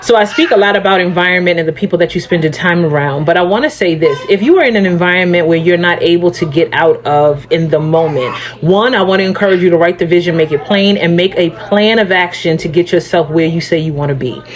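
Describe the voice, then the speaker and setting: Over noticeable background noise, a woman with a fairly low pitch talks at a very fast pace, her pitch varying in an ordinary way. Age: 40s. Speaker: life coach. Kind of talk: motivational talk. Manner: casual, conversational.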